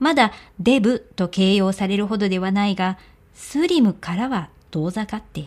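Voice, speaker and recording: Speaking at a moderate pace and medium pitch with ordinary pitch variation, a woman has an unremarkable speaking voice on a very clean recording with a silent background. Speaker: audiobook narrator. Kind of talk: reading aloud fiction.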